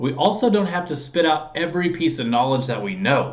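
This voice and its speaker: With lively intonation, a man talks at a fairly quick pace. Audible room echo surrounds his voice. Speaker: sales trainer for insurance agents. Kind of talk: tutorial. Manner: fast.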